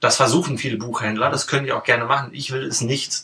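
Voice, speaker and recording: This man has a plain, everyday voice with ordinary pitch variation. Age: 30s. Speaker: bookshop owner. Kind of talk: casual interview. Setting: in his bookshop.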